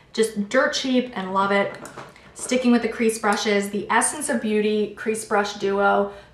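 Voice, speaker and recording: With noticeable background noise around her, a woman speaks at a fairly high pitch, fairly slow in pace and fairly even in intonation. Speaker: beauty vlogger. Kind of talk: product review monologue.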